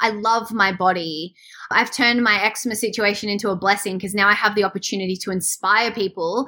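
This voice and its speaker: A woman with an Australian accent, her fairly high voice bright and sharp in tone, at a fairly quick pace. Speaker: swimwear brand founder. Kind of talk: casual interview. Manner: animated.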